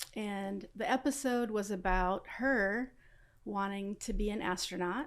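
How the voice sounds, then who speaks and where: A woman with an American accent has an unremarkable speaking voice at a medium pitch, speaking at a fairly slow pace with ordinary pitch variation on a very clean recording with a silent background. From Los Angeles, South Central. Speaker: aerospace engineer. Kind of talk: interview.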